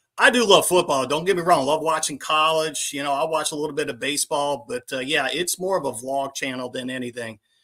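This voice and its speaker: A man's fairly high voice in a New Orleans accent, bright and sharp in tone, at a fairly quick pace with hardly any pauses and ordinary pitch variation, in a very clean recording with a silent background. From New Orleans, Louisiana. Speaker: YouTube vlogger. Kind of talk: casual chat.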